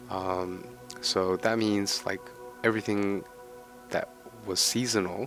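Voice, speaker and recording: Music plays behind a man who speaks very slowly in a very deep, low pitch. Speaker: gaming content creator. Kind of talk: casual game commentary. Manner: quiet.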